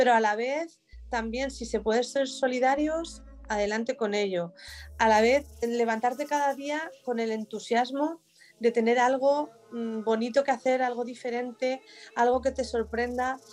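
A high-pitched woman at a fairly slow pace with fairly even intonation. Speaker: business owner. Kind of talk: interview. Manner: halting.

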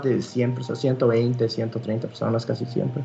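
A man is speaking. Music plays in the background. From Costa Rica. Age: 20s. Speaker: competitive fighting game player. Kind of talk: podcast interview.

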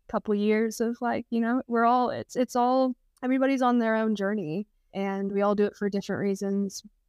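A woman speaks with a Texan accent in a fairly high voice. Her intonation stays fairly even. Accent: Texan American. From Texas. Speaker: surfer and outdoor adventurer. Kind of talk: casual interview chat.

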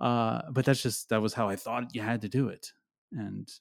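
The recording is very clean, with a silent background. A man with an American accent speaks with fairly even intonation. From US, Pennsylvania small town. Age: 30s. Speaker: digital marketing agency owner. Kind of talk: interview. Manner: halting, many fillers.

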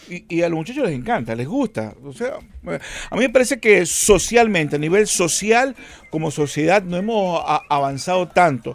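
Speaking at a moderate pace, a man uses a high pitch. His pitch swings very widely, and his loudness rises and falls sharply. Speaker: comedy actor. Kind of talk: interview.

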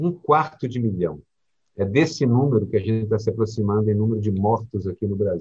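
With lively intonation and a fairly quick pace, a man speaks in a fairly low, somewhat breathy voice. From Brazil, Minas Gerais. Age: old. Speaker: cartoonist and podcast co-host. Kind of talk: casual chat.

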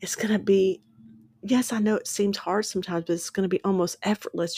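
Somewhat breathy, a woman talks fairly quickly at a medium pitch with fairly even intonation. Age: 50s. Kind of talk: devotional teaching.

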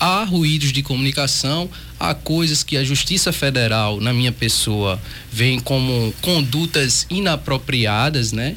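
Noticeable background noise sits behind a man speaking at a fairly slow pace in a medium pitch with lively intonation. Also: very even loudness. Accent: Pernambuco. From Pernambuco, Brazil. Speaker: federal judge. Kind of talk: radio interview. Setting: radio studio.

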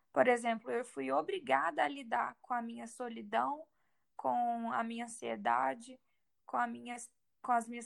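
A woman is speaking. Her pace is moderate. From Brazil, Minas Gerais. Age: 20s. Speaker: exchange student and digital influencer. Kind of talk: interview testimony.

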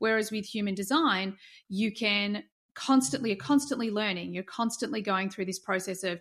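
Fairly quick speech comes from a woman at a medium pitch with ordinary pitch variation. The background is quiet. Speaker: life coach. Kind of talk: interview. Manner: animated.

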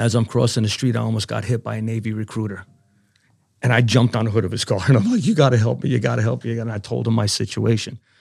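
Heard on a very clean recording with a silent background, a man talks with fairly even intonation and vocal fry. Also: medium pitch for a man. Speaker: navy veteran. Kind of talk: interview.

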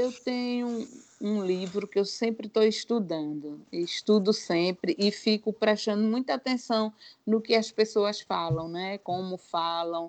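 A woman with an ordinary speaking voice, medium pitch and ordinary pitch variation, at a fairly slow pace, in a dry, close recording with no echo and a quiet background. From Brazil, Northeast (Alagoas). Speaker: former lawyer turned baker. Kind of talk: testimony.

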